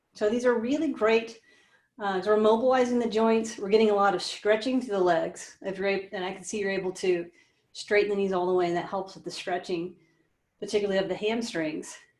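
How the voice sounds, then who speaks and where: A woman's normal speaking voice at medium pitch, fairly quick, with ordinary pitch variation and big swings in loudness. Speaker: pilates instructor. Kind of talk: live online fitness class instruction. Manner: encouraging, conversational.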